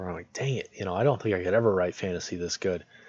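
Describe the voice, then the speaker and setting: The background is quiet. A man with a fairly low pitch speaks with ordinary pitch variation. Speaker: streamer reading literature aloud. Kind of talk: casual talk to live stream chat. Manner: casual, hesitant.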